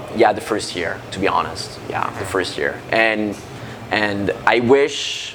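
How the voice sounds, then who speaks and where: The speaker talks at a very slow pace with a French accent and ordinary pitch variation. Noticeable background noise and audible room echo fill the recording. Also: man, fairly low pitch for a man. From France. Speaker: metalcore band frontman. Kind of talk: interview. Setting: music festival backstage. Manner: halting.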